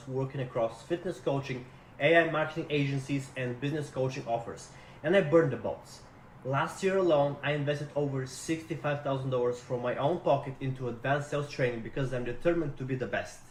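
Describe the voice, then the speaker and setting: Audible room echo surrounds a man with a Russian accent who talks fairly quickly at a fairly high pitch. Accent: Russian-sounding. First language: not English. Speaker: sales rep job seeker. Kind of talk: recorded self-introduction video. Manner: energetic.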